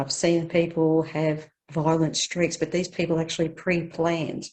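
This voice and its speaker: A woman with an Australian accent. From Australia, Victoria. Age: 60s. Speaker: care leaver interviewee. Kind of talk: life story interview.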